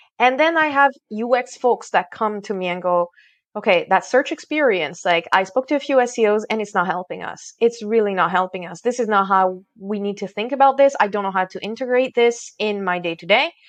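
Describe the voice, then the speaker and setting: A woman talks at a fairly quick pace with hardly any pauses, her pitch fairly high. Her intonation is lively, and the background is quiet. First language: not English (English is her third language). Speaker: SEO consultant and corporate trainer. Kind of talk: podcast interview. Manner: animated.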